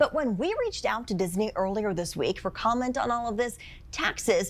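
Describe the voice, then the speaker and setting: A woman's unremarkable speaking voice, fairly high in pitch, with lively intonation at a moderate pace and an American accent. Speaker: TV news anchor. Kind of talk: TV news anchor delivery.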